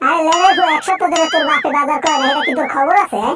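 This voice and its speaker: A squeaky, put-on character voice from a woman, extremely high in pitch and very fast. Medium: short film. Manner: shrill, scolding.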